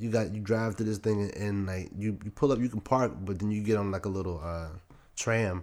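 A man's unremarkable speaking voice, fairly low in pitch, at a fairly quick pace with fairly even intonation. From Maryland, Prince George's County (DC area). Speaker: photographer podcast co-host. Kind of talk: casual chat.

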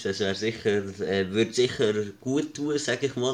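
Over a quiet background, a man speaks at a fairly slow pace and fairly low pitch. His is an unremarkable speaking voice. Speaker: podcast co-host. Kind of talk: casual chat.

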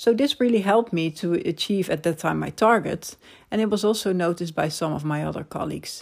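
Speaking at a fairly quick pace with a Dutch accent, a woman with a fairly low pitch is heard on a very clean recording with a silent background. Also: ordinary pitch variation. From Netherlands. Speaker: podcast host, personal branding consultant. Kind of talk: solo monologue podcast.

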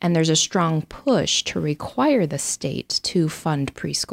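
An ordinary speaking voice from a woman with an American accent, at a fairly slow pace with ordinary pitch variation, in a dry, close sound with no echo and a very clean recording with a silent background. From Idaho. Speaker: state legislator and former military pilot. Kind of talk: interview.

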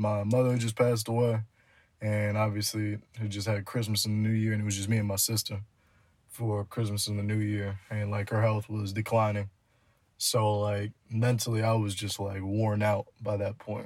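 A man with an American accent speaks at a fairly low pitch and a moderate pace, his intonation monotone and flat, with long, frequent pauses. The recording is very clean, with a silent background. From New Jersey. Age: 20s. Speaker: podcast co-host. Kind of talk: casual chat.

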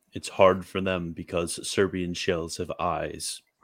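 A man with a very deep, low pitch and an animated tone at a moderate pace. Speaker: livestreamer host. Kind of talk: casual chat. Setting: live stream online. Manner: animated, joking.

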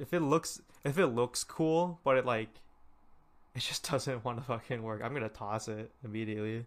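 A man with an American accent, medium in pitch, at a moderate pace. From California. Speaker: podcast host. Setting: video call. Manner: hyper, animated.

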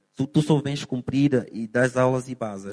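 An unremarkable speaking voice at a moderate pace, dry and close with no echo. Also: man. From Angola, Lobito (Benguela). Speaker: English teacher. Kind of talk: casual interview.

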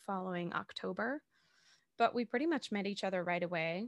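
In a dry, close sound with no echo and a quiet background, a woman with an American accent uses an ordinary speaking voice at a medium pitch. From Massachusetts, south of Boston. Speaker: actor and podcast host. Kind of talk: casual interview chat.

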